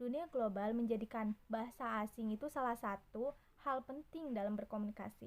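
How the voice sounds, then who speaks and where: A woman's fairly high voice at a fairly quick pace with fairly even intonation. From Subang, West Java, Indonesia. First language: Sundanese (speaking Indonesian). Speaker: university student. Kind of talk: class presentation.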